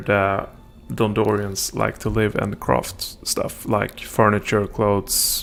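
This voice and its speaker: A man speaks with music playing in the background. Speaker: gaming streamer. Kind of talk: live gameplay stream commentary. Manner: hesitant, many fillers.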